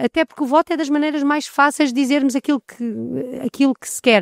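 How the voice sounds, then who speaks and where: In a very clean recording with a silent background and a dry, close sound with no echo, a woman speaks at a high pitch with ordinary pitch variation. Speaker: EU information centre coordinator. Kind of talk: interview. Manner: halting.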